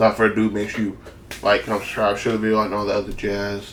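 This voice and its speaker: A man's fairly low voice at a very fast pace, monotone and flat in intonation. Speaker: gaming youtuber. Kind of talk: casual gaming guide commentary. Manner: casual, with fillers.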